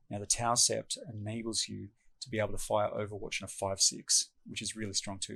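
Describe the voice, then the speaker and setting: A man's fairly low voice, bright and sharp in tone, at a very fast pace, on a very clean recording with a silent background. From Australia. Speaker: tabletop game player explaining strategy. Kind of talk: tutorial. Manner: casual, many fillers.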